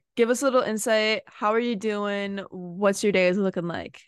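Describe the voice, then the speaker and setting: Against a quiet background, a plain, everyday voice speaks with ordinary pitch variation. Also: woman. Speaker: podcast co-host and college soccer player. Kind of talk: casual chat.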